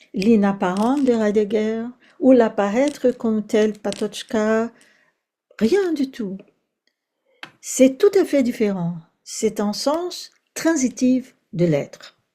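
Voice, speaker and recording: At a very slow pace with long, frequent pauses, a woman speaks in a dark, mellow tone, her fairly high pitch carried by lively intonation. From Brazil. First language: Portuguese (speaking French). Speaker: philosophy professor. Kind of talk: academic lecture. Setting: seminar, in person and online. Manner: hesitant, with fillers and repetitions.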